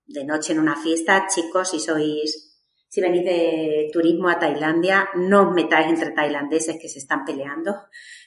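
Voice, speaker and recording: In a normal speaking voice, the talk moves at a fairly slow pace with hardly any pauses, fairly even intonation and big swings in loudness. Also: woman, fairly low pitch for a woman. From Extremadura, Spain (Badajoz). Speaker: podcast co-host. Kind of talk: casual chat.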